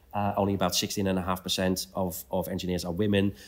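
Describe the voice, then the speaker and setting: A man with a Dutch accent speaks at a moderate pace and fairly low pitch in a very clean recording with a silent background. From Netherlands. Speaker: CEO of an engineering membership organization. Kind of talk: interview. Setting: at a conference venue. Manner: halting, many repetitions.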